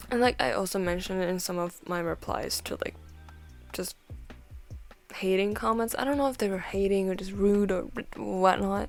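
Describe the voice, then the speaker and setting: A woman speaks at a moderate pace with a non-native accent. Music plays in the background. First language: not English. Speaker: art and chat video creator. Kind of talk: casual chat. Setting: at home while drawing. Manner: quieter than usual, not alone at home; casual, filler-heavy.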